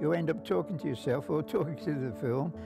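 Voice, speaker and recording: Over music in the background, a man with a West Country accent talks at a medium pitch, his voice making very wide pitch swings. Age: 80s+. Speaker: cinema projectionist. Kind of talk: interview answer. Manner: casual, conversational.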